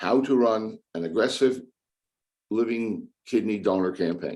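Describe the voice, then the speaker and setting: A man's plain, everyday voice, fairly low in pitch, with ordinary pitch variation and a fairly slow pace. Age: 60s. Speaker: kidney patient speaker. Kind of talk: prepared speech.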